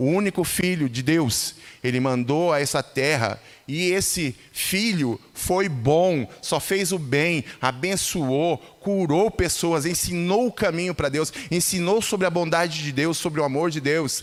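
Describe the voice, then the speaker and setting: At a fairly slow pace, a man with a fairly high pitch and ordinary pitch variation talks in an unremarkable speaking voice. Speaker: lay preacher. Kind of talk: sermon. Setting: church.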